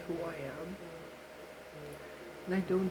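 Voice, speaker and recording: Over noticeable background noise, a soft-spoken voice proceeds at a moderate pace. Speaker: vlogger. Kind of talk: personal year-end reflection vlog. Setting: at home. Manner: quiet due to others at home.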